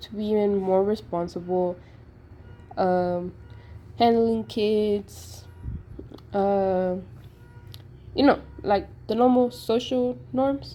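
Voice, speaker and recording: Speaking at a very slow pace, a woman with a non-native accent has a medium pitch, a dark, mellow tone and ordinary pitch variation. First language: not English. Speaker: sociology student. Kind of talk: class assignment presentation.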